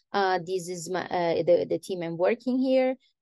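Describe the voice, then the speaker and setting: Over a quiet background, a woman with an Italian accent speaks at a fairly slow pace with ordinary pitch variation in a dry sound with no echo. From Italy. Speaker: astrophysics PhD student; guest. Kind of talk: lecture. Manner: halting. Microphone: webcam.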